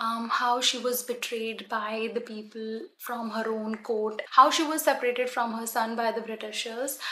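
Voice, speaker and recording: This woman talks at a moderate pace in a Punjabi accent, her fairly high pitch held in fairly even intonation. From Punjab, India. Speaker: book vlogger. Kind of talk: casual book recommendations to camera. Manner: hesitant, frequent ums.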